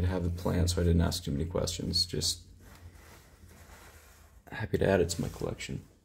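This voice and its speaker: A man's very deep, low voice, somewhat breathy. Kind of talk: casual vlog chat. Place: empty room. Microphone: phone near.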